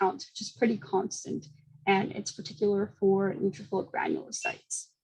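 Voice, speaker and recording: At a moderate pace, a woman talks in a somewhat breathy voice of medium pitch with ordinary pitch variation. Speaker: graduate student presenter. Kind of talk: academic seminar talk. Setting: seminar presentation.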